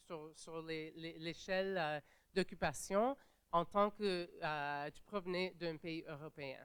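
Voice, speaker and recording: Speaking at a very slow pace, the woman shows ordinary pitch variation. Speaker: panelist, migrant rights advocate. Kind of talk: conference panel talk. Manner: halting, many fillers and restarts.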